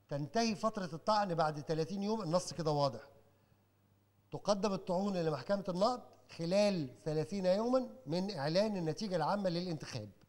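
The voice belongs to a man with a high pitch and ordinary pitch variation. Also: moderate pace. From Egypt. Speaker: lecturer on elections. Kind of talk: lecture. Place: hall. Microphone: handheld.

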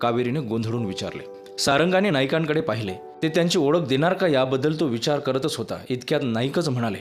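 It is an unforced reading voice.

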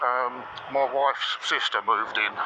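The speaker is a man. Background noise is noticeable. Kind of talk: casual ride commentary. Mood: dry joking. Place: motorbike. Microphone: helmet.

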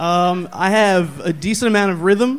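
Speaking in an American accent, a man shows ordinary pitch variation. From US Northeast. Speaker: comedian. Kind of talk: stand-up. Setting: stage with audience. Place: stage. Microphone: handheld.

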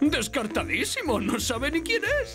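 In a cartoonish character voice, a woman speaks at a high pitch and a fairly slow pace, with big pitch swings and clear music in the background.

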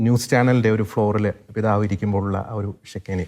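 On a very clean recording with a silent background, a man speaks at a fairly low pitch in a monotone, flat intonation. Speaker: interviewer. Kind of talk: interview. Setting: studio.

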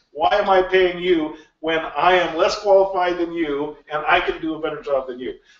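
In a room with audible echo, a man speaks at a high pitch with fairly even intonation. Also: moderate pace. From Alaska (rural bush). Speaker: games industry executive; guest lecturer. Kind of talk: lecture. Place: classroom. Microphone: camera far.

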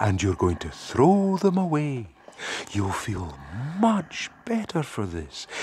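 In a put-on character voice, a man speaks slowly at a medium pitch with very wide pitch swings. His tone is slightly mellow with a husky, rough edge.

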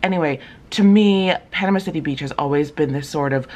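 A woman's very deep, low voice at a moderate pace, with ordinary pitch variation. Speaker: travel vlogger. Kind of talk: casual vlog chat. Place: home room. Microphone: phone near.

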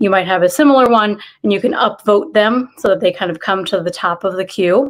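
Against a quiet background, the speech moves at a fairly quick pace. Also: woman. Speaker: library event host. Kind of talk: event introduction. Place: home room. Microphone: earbuds.

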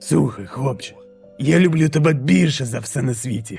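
Over faint background music, a man at medium pitch performs a put-on character voice. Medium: dub.

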